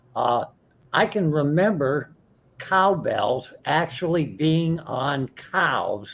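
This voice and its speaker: Fairly high in pitch, this man's voice has lively intonation. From rural area. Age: 60s. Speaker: livestream community member sharing a memory. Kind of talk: memorial tribute story on livestream.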